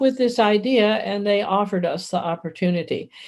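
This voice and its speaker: A woman at a medium pitch talks with lively intonation at a moderate pace, with noticeable background noise. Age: 70s. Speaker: psychotherapist and author. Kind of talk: podcast interview. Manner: animated.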